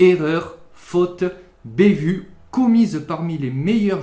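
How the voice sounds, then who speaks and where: In a southern French accent, a man speaks at a very slow pace with a high pitch and a dark, mellow, playful tone. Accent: southern French accent (sunny). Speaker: chess youtuber. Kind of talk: scripted narration.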